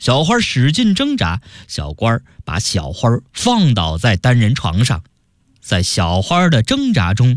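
This is an unforced reading voice. The background is quiet.

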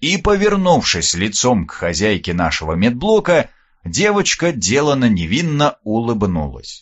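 Reading in an unforced voice.

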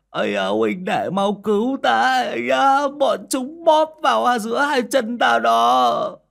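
A man puts on a character voice with extremely high pitch, lively intonation, vocal fry and a fairly bright tone in a very clean recording with a silent background. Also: fairly slow pace.

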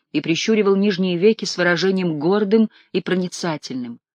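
This is a natural reading voice. It carries the clip from start to finish.

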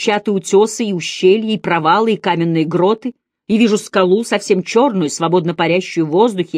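The pitch moves up and down in an ordinary way as a passage is read aloud in a natural voice. Nothing else can be heard behind it.

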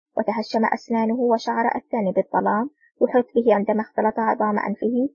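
Plain reading aloud with fairly even intonation against a quiet background.

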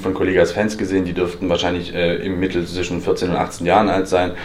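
Amid noticeable background noise and audible room echo, a man with a very deep, low pitch speaks at a very fast pace in a monotone, flat intonation. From eastern Germany. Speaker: freelance journalist. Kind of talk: lecture. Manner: halting.

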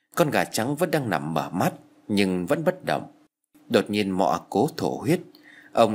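Nothing disturbs the quiet background. The text is read aloud plainly.

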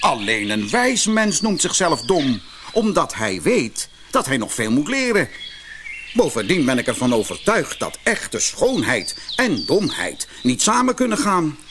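Over faint background noise, a man puts on a character voice at a fairly high pitch, speaking at a fairly slow pace with very wide pitch swings. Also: fairly bright tone.

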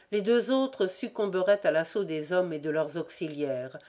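Someone reads aloud naturally, with a lively lift and fall in the intonation.

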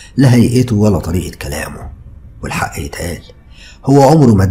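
Ordinary pitch variation marks this unforced reading voice.

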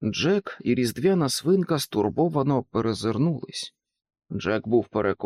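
A natural reading voice moves with lively intonation over a quiet background.

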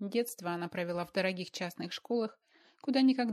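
This is reading aloud in a natural voice. The delivery stays that way throughout.

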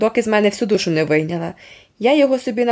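A natural voice reading aloud, its intonation lively.

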